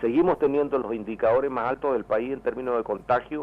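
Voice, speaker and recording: A man with a medium-pitched, unremarkable speaking voice talks with ordinary pitch variation. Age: 60s. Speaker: member of parliament. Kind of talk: radio interview.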